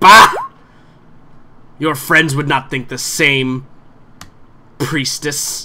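Using a put-on character voice with a hissing sound, a man speaks very slowly at a fairly high pitch, with long, frequent pauses. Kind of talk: fantasy villain acting. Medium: actual play. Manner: haughty, menacing, smugly reasoning.

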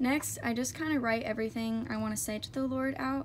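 Light noise is audible in the background. The voice is a woman's. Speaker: faith vlogger. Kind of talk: casual vlog chat. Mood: earnest, encouraging.

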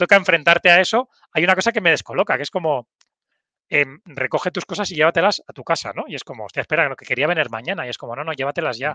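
Talking at a very fast pace, a man uses lively intonation and a bright, sharp tone with big swings in loudness, the sound dry with no echo over a quiet background. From Pamplona, Navarre, northern Spain; Navarre, Spain. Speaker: human resources executive; interview guest. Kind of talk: casual interview chat. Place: office. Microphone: headset.

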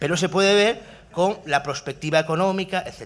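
Speaking at a moderate pace, a man uses a high-pitched voice. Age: 30s. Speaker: university researcher; speaker. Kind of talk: talk at a workshop panel. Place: hall. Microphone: podium.

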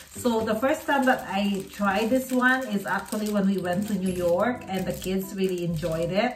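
A woman's voice with audible room echo and clear music in the background. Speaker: vlogger. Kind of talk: casual vlog chat. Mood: happy, enthusiastic. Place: home room. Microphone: phone near.

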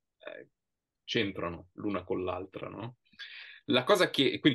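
A man speaks against a quiet background. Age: 40s. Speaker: writer and writing teacher; guest. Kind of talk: interview. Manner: halting, many repetitions. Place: home room. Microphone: video call.

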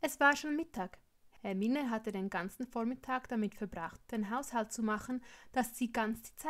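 This speaker reads in an unforced reading voice.

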